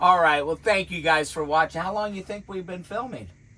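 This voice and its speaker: A man talks at a moderate pace and high pitch with ordinary pitch variation, against noticeable background noise. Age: 60s. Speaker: vlogger. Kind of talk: casual chat. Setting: in a van.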